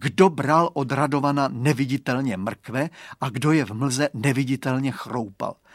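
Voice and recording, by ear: Natural-voiced reading aloud with fairly even intonation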